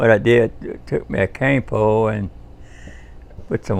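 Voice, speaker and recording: With a Cajun accent, a man speaks in a fairly low pitch. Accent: Cajun Louisiana English. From US South, Louisiana bayou (Pierre Part). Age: 70s. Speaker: war veteran. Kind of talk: life-story interview. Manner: halting, many fillers and restarts.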